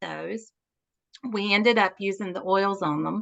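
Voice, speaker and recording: A woman talks with a Southern US accent. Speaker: natural health practitioner. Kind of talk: interview.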